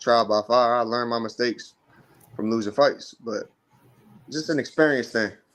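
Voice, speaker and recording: Here a man has a plain, everyday voice at a medium pitch. His intonation stays fairly even. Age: 20s. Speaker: amateur boxer. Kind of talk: interview.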